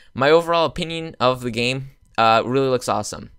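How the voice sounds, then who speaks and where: In a very clean recording with a silent background, a man speaks at a fairly quick pace with ordinary pitch variation. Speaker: gaming youtuber. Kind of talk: casual video commentary. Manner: fast; hesitant, many fillers.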